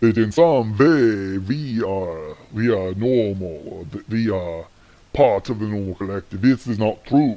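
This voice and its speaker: This man uses a put-on character voice. It sits fairly low in pitch. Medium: comedy skit.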